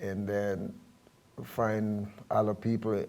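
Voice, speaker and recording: In a Jamaican accent, a man speaks with a dark, mellow tone, fairly low pitch and monotone, flat intonation. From Jamaica, Kingston. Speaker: reggae bandleader and guitarist. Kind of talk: interview. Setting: studio.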